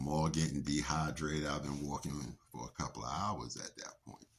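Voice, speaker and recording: Speaking at a moderate pace, a man's very deep, low voice shows vocal fry. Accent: American. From Brooklyn, New York. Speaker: podcaster. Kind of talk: storytelling. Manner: casual.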